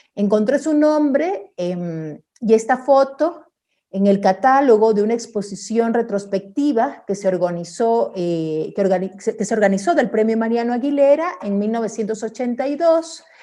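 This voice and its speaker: This woman has a Guayaquil accent and a fairly high pitch. Her intonation is lively, and she talks at a fairly slow pace. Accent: Guayaquil coastal Ecuadorian. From Ecuador, Guayaquil. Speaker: artist and researcher. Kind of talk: online talk with slides. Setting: virtual event. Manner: many fillers and restarts.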